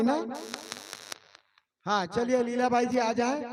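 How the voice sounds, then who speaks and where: A man speaks at an extremely high pitch. Room echo is audible. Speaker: event announcer. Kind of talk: stage announcement. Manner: casual.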